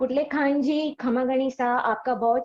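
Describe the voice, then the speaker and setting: Ordinary pitch variation runs through the speech. The speaker is a woman. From South India. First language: not Hindi; mainly English speaker (speaking Hindi). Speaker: interviewer, channel host. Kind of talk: interview. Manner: polite, formal.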